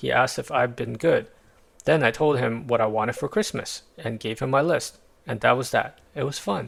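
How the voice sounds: The voice is a natural reading voice. It reads in that natural way throughout.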